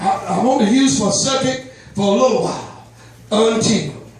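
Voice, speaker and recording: With audible room echo and noticeable background noise, a man speaks at a moderate pace in a high pitch with lively intonation. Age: 60s. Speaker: preacher. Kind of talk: sermon. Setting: church. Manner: animated.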